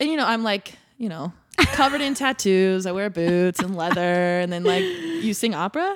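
A woman's medium-pitched voice with an American accent, lively intonation and moderate pace, over noticeable background noise. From Indiana, US Midwest. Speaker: pop singer. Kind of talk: interview. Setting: live podcast studio.

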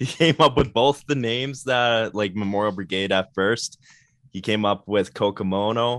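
An ordinary speaking voice with a Canadian accent, at a moderate pace with ordinary pitch variation. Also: man, medium pitch for a man. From Canada, Winnipeg. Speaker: band guitarist. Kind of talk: casual chat.

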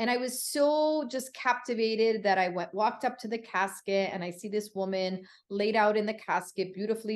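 A woman with an American accent talks at a moderate pace in a fairly high pitch. She has an ordinary speaking voice with ordinary pitch variation. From Connecticut, US. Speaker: funeral services educator. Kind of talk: interview.

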